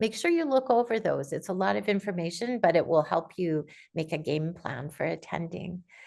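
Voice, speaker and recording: Over a quiet background, a woman with vocal fry speaks at a moderate pace, her fairly low pitch swinging very widely. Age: 60s. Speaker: aspiring writer, conference speaker. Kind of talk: informational talk on video call. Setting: video call.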